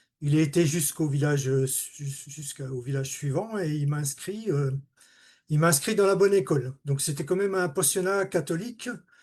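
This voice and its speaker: A somewhat breathy man's voice, fairly high for a man, with ordinary pitch variation at a moderate pace against a quiet background. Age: 60s. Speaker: retired automation technician giving testimony. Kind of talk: testimony. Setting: video call. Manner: halting.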